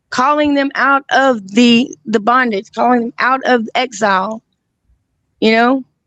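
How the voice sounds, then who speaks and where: Her pitch is high and varies in an ordinary way as this woman speaks at a fairly slow pace. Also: dry, close sound with no echo. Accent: Alabama. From Alabama. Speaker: guest. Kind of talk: casual chat. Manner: halting.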